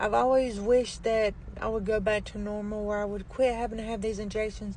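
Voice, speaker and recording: A quiet woman's fairly high, monotone voice with flat intonation at a fairly quick pace, with audible room echo and noticeable background noise. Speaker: vlogger. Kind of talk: casual vlog talk.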